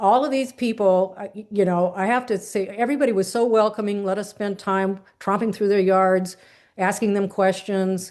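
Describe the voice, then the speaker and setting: A woman at medium pitch and moderate pace, against a quiet background. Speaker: community volunteer presenter. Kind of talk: presentation to online meeting.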